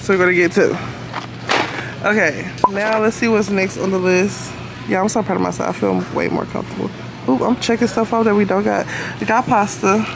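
A woman speaks with ordinary pitch variation. Music plays in the background. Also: fairly quick pace. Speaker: vlogger. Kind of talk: casual vlog chat. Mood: uneasy, telling about a stranger. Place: shop. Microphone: phone near.

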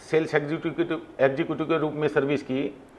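A man's fairly high voice at a moderate pace, monotone and flat in intonation. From Hisar, Haryana, India; Haryana, India. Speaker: industrialist; interview guest. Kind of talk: interview. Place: studio.

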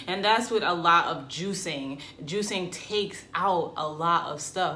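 Fairly even intonation marks a woman's fairly low voice. She goes at a very slow pace over light background noise. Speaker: vlogger. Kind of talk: casual vlog chat. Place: home room. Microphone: camera far.

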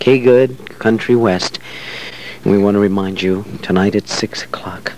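A man with an American accent and an unremarkable speaking voice talks at a fairly slow pace in a fairly low pitch. His intonation is fairly even, and the dry sound has no echo and light background noise. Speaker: radio disc jockey / host. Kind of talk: country radio DJ patter with station IDs, weather and time checks. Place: studio. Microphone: old recording.

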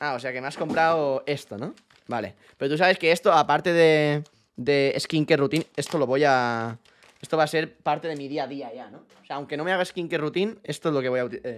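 A man talks at a fairly quick pace in a fairly high pitch. His pitch varies in an ordinary way while his loudness swings widely. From Spain. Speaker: streamer. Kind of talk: casual livestream chat. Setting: bedroom stream setup. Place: home room. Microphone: studio mic.

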